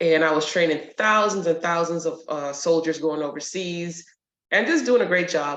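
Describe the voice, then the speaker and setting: With a New York accent, a woman speaks at a fairly low pitch and a moderate pace. Her pitch varies in an ordinary way, and the room echo is audible. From New York, Brooklyn. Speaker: retired army sergeant major and nurse. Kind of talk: interview. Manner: direct.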